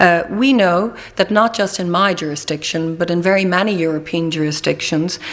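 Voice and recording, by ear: A woman speaks at a moderate pace with a fairly low pitch. Her pitch varies in an ordinary way.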